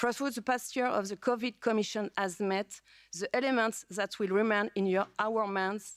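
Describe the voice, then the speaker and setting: A woman with a French accent speaks at a medium pitch with fairly even intonation, in a very clean recording with a silent background and a dry, close sound with no echo. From France. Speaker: politician. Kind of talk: speech. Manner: halting.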